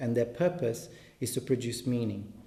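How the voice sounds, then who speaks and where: In a Portuguese accent, a man speaks at a medium pitch with ordinary pitch variation. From Brazil. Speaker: translator and reader. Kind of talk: commented reading aloud. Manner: halting, many fillers and repetitions.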